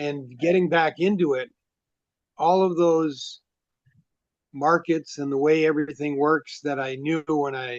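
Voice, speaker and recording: A man talks fairly slowly, with long, frequent pauses breaking up his speech. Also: fairly even intonation. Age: 60s. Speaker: horror fiction author. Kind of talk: casual interview chat. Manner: halting, many fillers.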